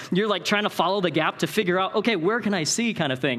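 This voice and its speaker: An animated man with an American accent and ordinary pitch variation, over noticeable background noise. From Northern California. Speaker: Bible college director and conference speaker. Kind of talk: conference talk. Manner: fast.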